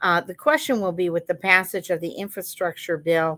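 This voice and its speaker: On a very clean recording with a silent background, a woman uses an ordinary speaking voice at a fairly low pitch with fairly even intonation. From Montana. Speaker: political pollster. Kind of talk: keynote presentation. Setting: conference.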